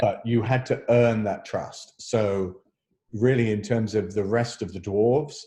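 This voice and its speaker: The man's voice is somewhat breathy. It sits fairly low in pitch. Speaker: actor. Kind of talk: interview answer.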